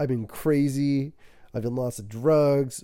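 At a fairly slow pace, a man with a dark, mellow tone speaks at medium pitch in a very clean recording with a silent background. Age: 30s. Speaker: podcast host. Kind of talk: casual monologue.

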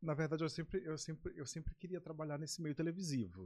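This man talks very fast in a somewhat breathy voice with a dark, mellow tone. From Maranhão, Brazil (Baixada Maranhense). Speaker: TV presenter. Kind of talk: casual chat.

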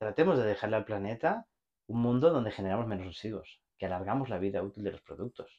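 Very fast speech with a Barcelona accent and ordinary pitch variation. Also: man, quiet background. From Spain, Barcelona. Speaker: logistics executive and entrepreneur. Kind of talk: casual interview chat.

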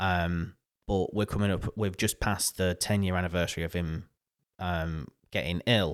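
A man with a northern English accent speaks in a very deep, low pitch with ordinary variation. The recording is very clean, the background silent. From northern England. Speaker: podcaster and radio professional. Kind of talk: casual interview chat. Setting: studio.

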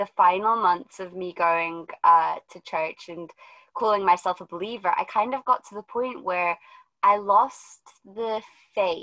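A woman talks at a fairly slow pace in a normal speaking voice. Her pitch variation is ordinary. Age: 20s. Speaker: podcast host. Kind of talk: casual chat.

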